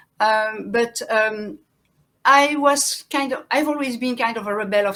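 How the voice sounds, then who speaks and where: A woman with a French accent speaks at a moderate pace in a fairly high voice, her intonation fairly even, on a very clean recording with a silent background. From France and Belgium. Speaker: farmer and activist. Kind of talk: interview. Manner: halting.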